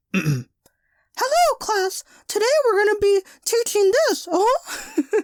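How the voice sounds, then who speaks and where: In a put-on character voice, the speaker goes at a very slow pace with an extremely high pitch. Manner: cheerful, bubbly.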